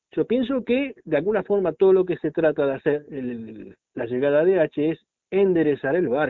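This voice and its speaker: Here is a man with a plain, everyday voice and a fairly high pitch. He talks at a moderate pace with lively intonation. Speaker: football podcast co-host. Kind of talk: casual sports talk. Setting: remote call with co-host. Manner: formal.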